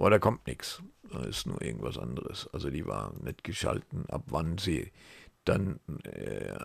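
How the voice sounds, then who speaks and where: A man talks with vocal fry and very wide pitch swings at a fairly slow pace. The sound is dry with no echo, and the background is quiet. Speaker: retired travel agent and local web entrepreneur. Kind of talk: casual screen-share monologue. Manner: halting, many fillers. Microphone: headset.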